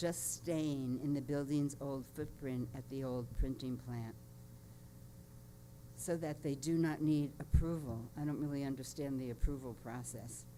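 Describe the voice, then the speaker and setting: A woman's very deep, low voice, dark and mellow, at a fairly slow pace with fairly even intonation and audible room echo. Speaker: public commenter at city council. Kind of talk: public comment.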